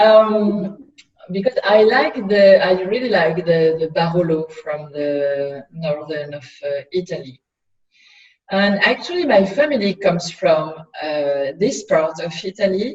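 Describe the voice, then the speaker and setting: A woman with a French accent and a medium pitch talks at a fairly slow pace with lively intonation. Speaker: winery owner and winemaker. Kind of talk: interview. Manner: halting.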